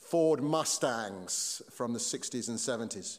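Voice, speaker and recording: A man with a British accent speaks at a very slow pace with ordinary pitch variation. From Britain. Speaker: pastor. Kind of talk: sermon.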